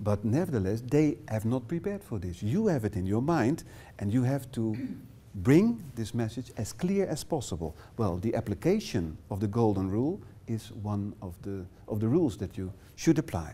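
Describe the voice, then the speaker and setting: A man with a Dutch accent speaks at a moderate pace and medium pitch, his dark, mellow tone somewhat breathy and his intonation lively, in a very clean recording with a silent background. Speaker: workshop trainer. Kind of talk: lecture. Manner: halting.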